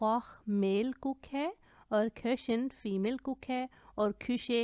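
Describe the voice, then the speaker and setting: A woman with a German accent has a dark, mellow tone, heard on a very clean recording with a silent background and a dry, close sound with no echo. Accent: non-native German pronunciation. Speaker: German language teacher. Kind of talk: language lesson tutorial.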